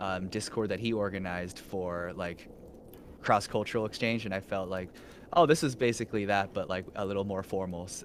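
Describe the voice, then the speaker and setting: A man with an American accent talks at a fairly quick pace in a plain, everyday voice, fairly low in pitch, with fairly even intonation. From US. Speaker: vtuber. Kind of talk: casual chat.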